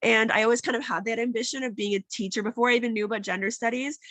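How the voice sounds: Raspy and fairly bright in tone, a woman talks very fast at a fairly high pitch with fairly even intonation.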